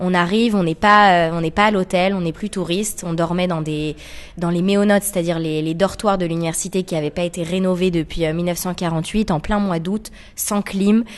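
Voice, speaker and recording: Fairly low in pitch, this woman has an ordinary speaking voice. She keeps a moderate pace and fairly even intonation. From France, Paris. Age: 20s. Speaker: association co-founder. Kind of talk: radio interview.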